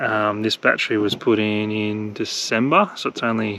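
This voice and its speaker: In an Australian accent, a man speaks at a fairly slow pace with a fairly low pitch. His intonation is monotone and flat. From Australia, country Victoria. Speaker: travel vlogger. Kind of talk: casual vlog narration. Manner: casual, hesitant with fillers; quiet.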